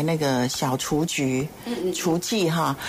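There is noticeable background noise as a woman with a fairly low pitch speaks. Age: 60s. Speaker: foundation executive director. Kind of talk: radio interview. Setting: studio.

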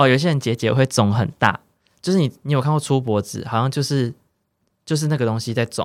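In a very clean recording with a silent background and a dry, close sound with no echo, a man with an ordinary speaking voice talks at a fairly quick pace, with medium pitch and ordinary pitch variation. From central Taiwan. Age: 20s. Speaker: cancer patient. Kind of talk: interview.

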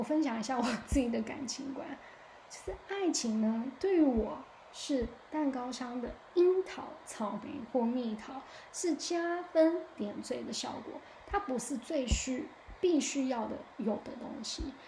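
Amid audible room echo, a woman with a high pitch speaks at a fairly slow pace in an animated tone, her intonation lively and her loudness swinging widely. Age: 30s. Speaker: podcast host. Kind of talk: casual monologue.

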